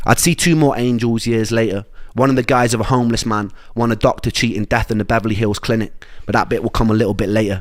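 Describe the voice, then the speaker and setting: A man with a Welsh accent at a very fast pace. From Wales. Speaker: musician telling his illness story. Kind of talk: personal narration.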